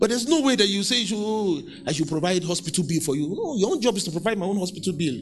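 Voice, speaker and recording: A man with a Nigerian accent talks at a very fast pace in a high pitch, his tone animated and his intonation lively, with noticeable background noise behind him. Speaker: preacher. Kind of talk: sermon. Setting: church. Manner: animated, exhorting, with call-and-response; conversational, stop-start, with repeated words.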